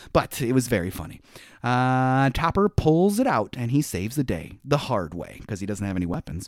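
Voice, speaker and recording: Playful in tone, a man with a medium pitch speaks at a fairly quick pace in a very clean recording with a silent background. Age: 40s. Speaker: podcast host. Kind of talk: casual chat. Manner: joking, playful.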